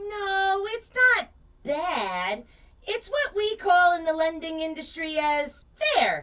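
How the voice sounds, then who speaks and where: A woman puts on a character voice at an extremely high pitch. She talks at a fairly slow pace. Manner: storybook telling, sassy.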